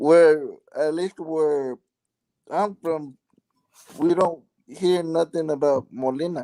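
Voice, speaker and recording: With a strong Mexican accent, a man speaks at a very slow pace with long, frequent pauses, in a dark, mellow tone at a fairly high pitch. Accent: thick Mexican. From California and Mexico. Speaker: live stream participant. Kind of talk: casual chat.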